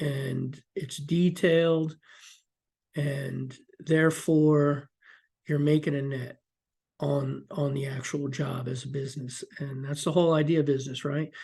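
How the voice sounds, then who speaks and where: Over a quiet background, the speaker moves at a fairly slow pace with long, frequent pauses. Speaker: construction estimator. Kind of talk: tutorial. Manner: casual, with many fillers.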